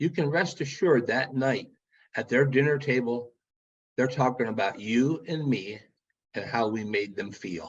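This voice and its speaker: Man, an ordinary speaking voice, medium pitch with ordinary pitch variation, speaking at a moderate pace. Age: 60s. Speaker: keynote speaker. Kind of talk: motivational keynote address. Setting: virtual meeting.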